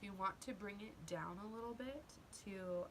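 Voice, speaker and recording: A woman's medium-pitched voice with very wide pitch swings at a fairly slow pace, amid noticeable background noise and audible room echo. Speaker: beauty vlogger. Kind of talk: makeup tutorial. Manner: casual, chatty; occasional stutter.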